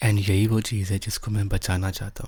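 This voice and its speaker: In a very clean recording with a silent background, a man speaks in a soothing tone, his fairly low voice somewhat breathy. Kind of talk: ASMR boyfriend roleplay. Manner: comforting, soothing.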